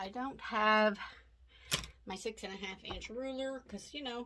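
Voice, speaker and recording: A speaker with a Southern US accent talks at a moderate pace, the intonation lively. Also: woman. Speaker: quilting instructor. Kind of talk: tutorial. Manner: casual, chatty.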